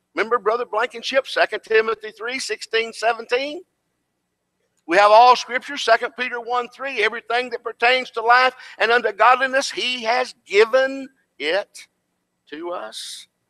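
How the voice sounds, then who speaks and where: A man with a Tennessee accent speaks in a raised, projected voice at an extremely high pitch, bright and sharp in tone. His pace is fairly slow, pitch variation is ordinary, and the background is quiet. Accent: US Southern (Tennessee). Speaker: preacher and preaching school instructor; preacher, preaching school instructor. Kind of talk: sermon. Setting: church class with audience. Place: church.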